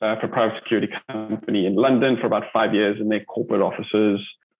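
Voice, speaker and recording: Medium in pitch, a man speaks with a South African accent. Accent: South African, lasting. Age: 40s. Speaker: army veteran and entrepreneur. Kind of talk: interview. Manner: hesitant, many fillers.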